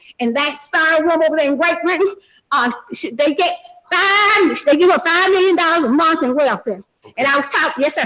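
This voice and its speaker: A woman projects her raised voice at an extremely high pitch, her tone bright and sharp. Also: ordinary pitch variation, fairly quick pace. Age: 70s. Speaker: party in a court case. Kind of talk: court testimony. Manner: animated, rambling with frequent fillers.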